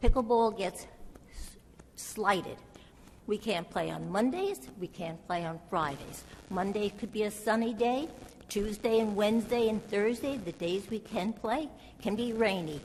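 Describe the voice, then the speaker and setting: A woman with a fairly high pitch speaks at a fairly slow pace over noticeable background noise. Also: ordinary pitch variation. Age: 80s+. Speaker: resident speaking at public comment. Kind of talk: public comment at council meeting.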